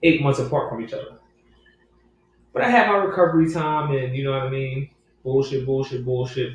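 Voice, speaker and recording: A man with a medium pitch talks at a fairly quick pace, with ordinary pitch variation. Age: 30s. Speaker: professional boxer. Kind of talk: casual interview.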